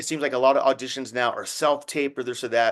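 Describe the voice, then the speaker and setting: Against a quiet background, a man speaks in an unremarkable speaking voice with a fairly high pitch, fairly even intonation and a fairly quick pace. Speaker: podcast host. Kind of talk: casual podcast interview.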